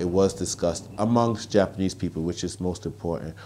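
With a New York accent, a man speaks at a very deep, low pitch in a dark, mellow tone. His intonation is fairly even over light background noise. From Brooklyn, New York. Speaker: author, columnist and activist. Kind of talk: interview answer. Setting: outdoors. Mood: earnest, reflective. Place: home room. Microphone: lapel.

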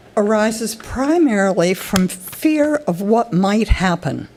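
Noticeable background noise sits behind a woman whose fairly high voice has lively intonation. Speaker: public commenter. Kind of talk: public comment at a planning meeting.

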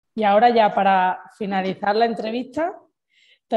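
A woman speaks in a plain, everyday voice. Her pitch is fairly high and varies in an ordinary way. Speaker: podcast host. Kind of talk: casual interview.

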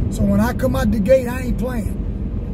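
A man talks at a moderate pace. The sound is dry with no echo, over loud background noise. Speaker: car channel host. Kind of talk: casual vlog chat. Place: car. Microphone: phone near.

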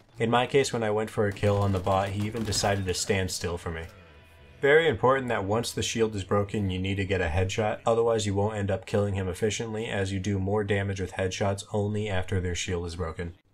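Over background music, a man with a fairly low pitch talks at a very fast pace with fairly even intonation. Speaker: gaming achievement guide creator. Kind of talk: game tutorial narration. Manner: monotone.

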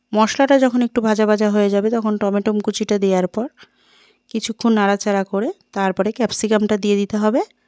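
A woman speaks with a dark, mellow tone at a fairly high pitch, her intonation fairly even. The sound is dry and close, with no echo. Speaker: cooking channel host. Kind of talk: cooking tutorial. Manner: chatty, addressing viewers directly.

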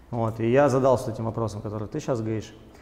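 Fairly even intonation in a man's voice, its tone dark and mellow. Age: 20s. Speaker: businessman; guest. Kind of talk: interview. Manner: hesitant with fillers. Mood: calm, reflective. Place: studio. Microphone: lapel.

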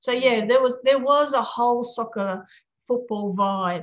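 The woman speaks at a fairly slow pace over a quiet background. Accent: Australian. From Australia, Sydney and Newcastle; Australia. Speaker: former international footballer; interviewee. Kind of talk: interview. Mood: reflective, earnest. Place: home room. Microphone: video call.

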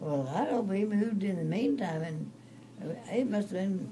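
Noticeable background noise sits behind a woman who speaks at a fairly slow pace. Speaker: storyteller. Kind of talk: interview answer, recollection. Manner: frail, halting very elderly voice. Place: home room. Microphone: phone near.

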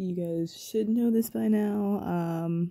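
A woman speaks with a dark, mellow tone at a fairly low pitch. The background is quiet. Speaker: beauty vlogger. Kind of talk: casual vlog chat.

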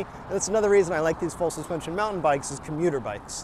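A high-pitched man talks at a very fast pace. The sound is dry with no echo, and background noise is noticeable. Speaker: e-bike reviewer. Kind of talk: casual vlog chat. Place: bicycle. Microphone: phone near.

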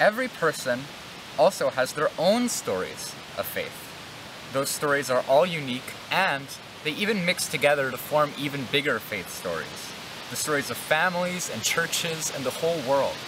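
A man at a moderate pace, with noticeable background noise and a dry sound with no echo. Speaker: church educator. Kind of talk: children's devotional talk and prayer. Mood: gentle, calm. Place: open country.

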